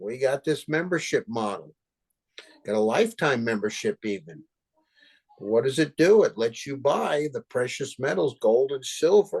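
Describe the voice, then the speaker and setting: A man's dry, close voice with no echo, swinging very widely in pitch. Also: fairly high pitch for a man, moderate pace. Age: 70s. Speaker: business mentor. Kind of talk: presentation to a video call. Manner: animated.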